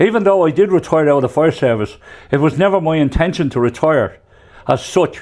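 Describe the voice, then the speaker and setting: With a Dublin accent, a man talks at a fairly quick pace. His pitch is fairly high. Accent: Dublin Irish. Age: 70s. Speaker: retired firefighter, truck driver. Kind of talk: interview.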